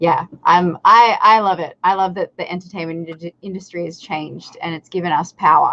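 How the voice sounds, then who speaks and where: A woman's fairly low voice in an Australian accent at a moderate pace, with big swings in loudness. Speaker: content creator and recording artist. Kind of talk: casual interview chat. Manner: animated, hesitant with many fillers.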